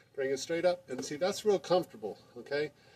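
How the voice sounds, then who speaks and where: A man talks fairly quickly with ordinary pitch variation, and noticeable background noise runs behind him. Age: 60s. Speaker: amateur basketball player and video maker. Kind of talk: tutorial. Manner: casual, with many fillers.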